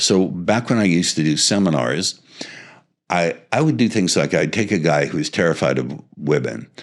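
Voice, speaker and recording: A man's very deep, low voice with vocal fry and very even loudness. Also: lively intonation, moderate pace. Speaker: seduction and hypnosis coach. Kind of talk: interview. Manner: purposeful, no verbal pauses.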